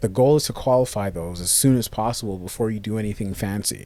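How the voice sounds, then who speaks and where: A man speaks at a moderate pace and medium pitch in a dark, mellow tone with ordinary pitch variation. The recording is very clean, with a silent background. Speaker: cold email marketing coach. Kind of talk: screen-share tutorial. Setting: live screen recording with camera. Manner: casual, occasional stumbles and self-corrections.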